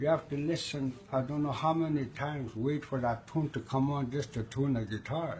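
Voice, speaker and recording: A somewhat breathy man's voice, fairly high in pitch, with ordinary pitch variation. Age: 60s. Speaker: guitar player. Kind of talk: interview answer.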